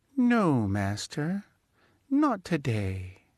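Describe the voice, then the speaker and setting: A put-on character voice with very wide pitch swings plays against a quiet background. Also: man, fairly high pitch for a man. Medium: read story.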